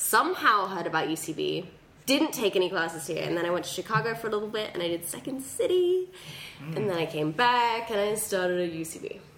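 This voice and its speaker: A woman at a medium pitch, fairly quick and with lively intonation, over noticeable background noise. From England. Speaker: comedian. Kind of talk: casual chat.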